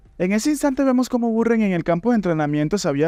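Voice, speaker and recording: Talking at a very fast pace, a man uses very wide pitch swings in a dark, mellow tone. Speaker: manhwa recap narrator. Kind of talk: story narration. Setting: recording late at night.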